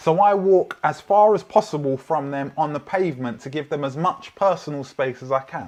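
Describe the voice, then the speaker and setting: A man's high-pitched voice in a London accent, lively in intonation, at a moderate pace. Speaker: preacher. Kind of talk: sermon. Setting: online church livestream.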